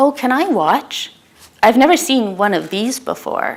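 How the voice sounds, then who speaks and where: A woman puts on a squeaky character voice pitched high, with very wide pitch swings. She keeps a moderate pace. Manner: eager, curious.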